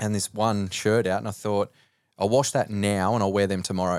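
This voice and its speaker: Recorded very cleanly against a silent background, with a dry, close sound and no echo, a man with an Australian accent speaks fairly quickly at a fairly low pitch. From Australia (rural New South Wales). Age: 30s. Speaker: mindset and performance coach. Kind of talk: casual interview chat.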